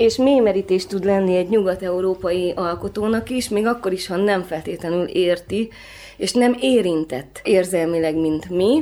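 A woman speaks at a fairly slow pace with a medium pitch, ordinary pitch variation, and a dark, mellow tone. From Transylvania, then Budapest from age 11. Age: 30s. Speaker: photographer. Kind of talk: interview conversation.

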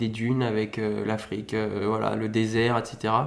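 A man talks at a very slow pace with audible room echo. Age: 30s. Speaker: motocross and rally rider. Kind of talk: interview. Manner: hesitant, many fillers.

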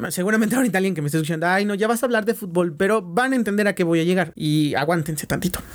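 This man talks very fast in a Mexican accent, with hardly any pauses. His high voice has ordinary pitch variation and very even loudness. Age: 20s. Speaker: podcast host. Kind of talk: casual solo podcast monologue. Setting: at home.

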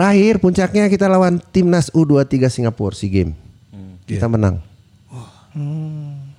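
With a West Javanese accent, a man with a fairly high pitch and a dark, mellow tone talks at a moderate pace, his voice making very wide pitch swings and big swings in loudness. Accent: Sundanese tongue. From non-Sundanese Indonesia, raised in Bandung. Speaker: football coach. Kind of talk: casual chat.

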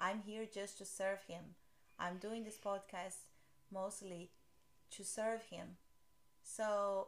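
Speaking with a Portuguese accent, a woman talks at a fairly slow pace with fairly even intonation. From Brazil. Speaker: podcast host. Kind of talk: casual chat.

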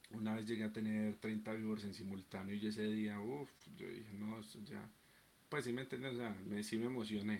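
The speaker is a man. He talks at a fairly quick pace with fairly even intonation. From Colombia, Medellín (Antioquia). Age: 20s. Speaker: streamer. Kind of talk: casual chat.

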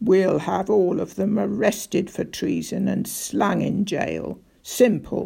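In a put-on character voice, the speaker growls at a middle pitch and a fairly slow pace. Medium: read story. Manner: growling, blunt.

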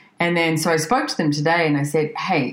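A woman with an Australian accent, very deep and low in pitch, fairly quick and animated, over noticeable background noise. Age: 40s. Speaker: podcast host. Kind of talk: casual chat.

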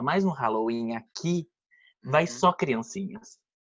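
Here is a man with an ordinary speaking voice. He talks at a fairly slow pace with lively intonation. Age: 20s. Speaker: podcast guest. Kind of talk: casual chat.

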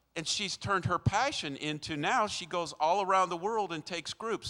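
Raising and projecting his voice, a man speaks at a moderate pace with a high pitch, on a very clean recording with a silent background and a dry, close sound with no echo. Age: 60s. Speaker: guest preacher. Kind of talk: sermon. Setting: church with live congregation. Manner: animated.

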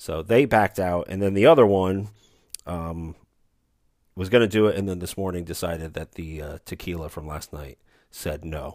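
A man's very deep, low voice at a moderate pace, with ordinary pitch variation and big swings in loudness. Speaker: sports podcast host. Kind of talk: solo sports podcast monologue. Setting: remote, away from studio. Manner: self-deprecating, jokey.

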